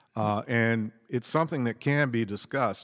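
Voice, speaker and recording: With an unremarkable speaking voice, a man talks at a moderate pace with medium pitch and ordinary pitch variation, the sound dry and close with no echo. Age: 60s. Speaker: co-host. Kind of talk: casual religious discussion.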